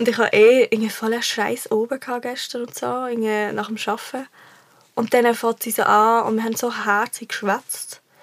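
Speaking at a moderate pace, a woman with a fairly high voice keeps a flat, monotone delivery. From Switzerland, Basel. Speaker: singer-songwriter. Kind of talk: casual chat.

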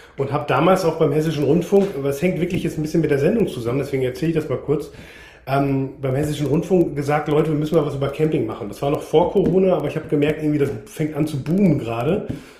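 Talking at a very fast pace, a man with a fairly high-pitched voice is heard over audible room echo. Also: ordinary pitch variation. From Münsterland, Germany. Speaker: TV camping presenter. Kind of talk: interview.

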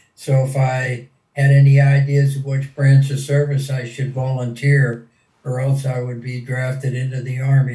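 A man with an American accent, medium in pitch, dark and mellow in tone, somewhat breathy, monotone and flat in intonation, at a moderate pace. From Pennsylvania, US (small town). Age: 80s+. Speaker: WWII veteran fighter pilot. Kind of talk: interview, personal war testimony. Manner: hesitant, many fillers.

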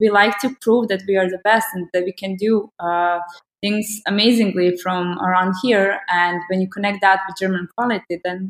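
At a moderate pace and medium pitch, a woman talks with fairly even intonation. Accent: Croatian. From Croatia. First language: Croatian. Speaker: agency managing director. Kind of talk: casual conversation.

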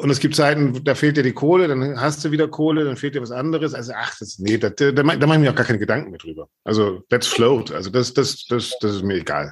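A man of medium pitch speaks at a fairly quick pace with ordinary pitch variation and big swings in loudness. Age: 50s. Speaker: journalist and classical music podcaster. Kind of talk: interview. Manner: animated.

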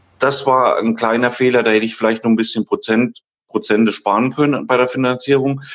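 A man's plain, everyday voice at medium pitch, fairly quick and fairly even in intonation, with very even loudness. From Thuringia, Germany. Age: 30s. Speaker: care home manager. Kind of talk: interview.

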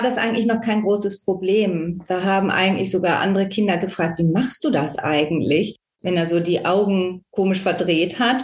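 A woman speaks in a normal speaking voice at a medium pitch and moderate pace, with ordinary pitch variation. Her loudness stays very even, with hardly any pauses. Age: 50s. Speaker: parent of a child with Tourette syndrome, volunteer. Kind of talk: interview.

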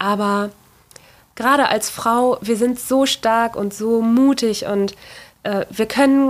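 Delivered at a very slow pace, the speech has long, frequent pauses and fairly even intonation. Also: woman, fairly high pitch for a woman. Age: 30s. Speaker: furniture restorer and workshop owner. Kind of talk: interview.

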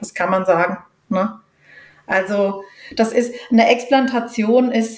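Somewhat breathy and fairly high-pitched, a woman's voice keeps a fairly even intonation. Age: 50s. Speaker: patient advocate, association founder. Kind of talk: interview.

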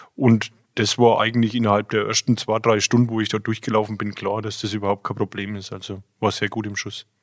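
On a very clean recording with a silent background and a dry, close sound with no echo, a man speaks at a fairly quick pace with fairly low pitch and monotone, flat intonation. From Franconia, Germany (Jura east of Bamberg). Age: 40s. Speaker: brewer. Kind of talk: casual interview.

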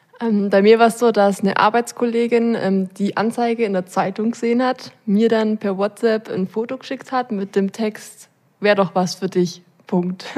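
At a moderate pace, a woman speaks in an unremarkable speaking voice, fairly high in pitch with fairly even intonation. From Allgäu, Bavaria. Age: 20s. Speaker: job-testing program participant. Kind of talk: casual interview.

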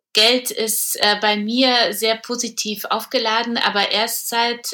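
Noticeable background noise sits under a woman speaking with ordinary pitch variation. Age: 40s. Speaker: publisher and entrepreneur. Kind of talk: interview conversation. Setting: remote recording.

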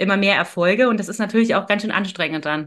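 Bright, sharp tone from a woman at medium pitch, over a quiet background. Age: 30s. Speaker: neuro-coach, former engineer. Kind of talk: interview conversation. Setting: video call.

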